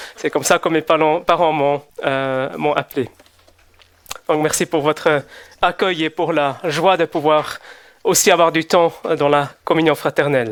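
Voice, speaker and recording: Speaking at a fairly slow pace with a Swiss German accent, a man keeps his fairly high voice at fairly even intonation and leaves long, frequent pauses. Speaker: visiting preacher. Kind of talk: sermon. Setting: church service. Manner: hesitant with fillers.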